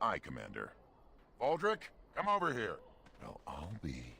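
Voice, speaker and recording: The voice is a put-on character. Its pace is moderate. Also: man. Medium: video game.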